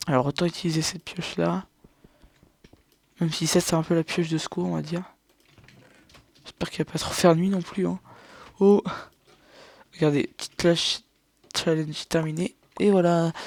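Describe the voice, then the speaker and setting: A soft-spoken man with a high pitch, monotone, flat intonation, a moderate pace and long, frequent pauses, in a dry, close sound with no echo. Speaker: gaming youtuber. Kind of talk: let's play commentary. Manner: halting.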